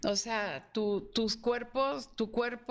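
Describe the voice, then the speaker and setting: A woman speaks very slowly in a fairly high pitch. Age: 60s. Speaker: academic guest. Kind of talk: panel discussion.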